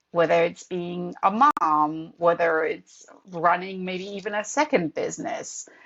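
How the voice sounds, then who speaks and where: Someone with a European accent speaks at a fairly slow pace. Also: woman, fairly low pitch for a woman, ordinary pitch variation. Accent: noticeable European. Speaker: professor and author. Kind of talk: podcast interview.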